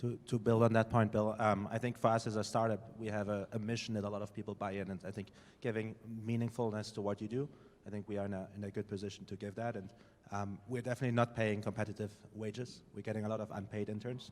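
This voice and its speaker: In a German accent, a man talks at a very fast pace and a fairly low pitch, his intonation monotone and flat. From Germany. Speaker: startup founder. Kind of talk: panel discussion.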